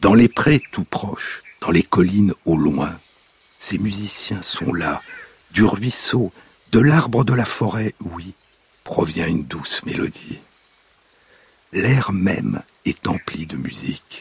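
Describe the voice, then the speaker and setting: Man speaking very slowly with long, frequent pauses, lively intonation and a fairly low pitch, the sound dry and close with no echo. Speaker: radio host. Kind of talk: scripted narration. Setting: radio studio. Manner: lyrical, slow, measured, incantatory delivery.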